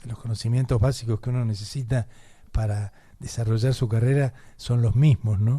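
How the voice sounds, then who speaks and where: A man's dark, mellow, somewhat breathy voice at medium pitch, with a Rioplatense accent and a moderate pace. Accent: Argentine Rioplatense Spanish. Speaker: radio host. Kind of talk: radio interview. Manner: repetitive stammering false starts.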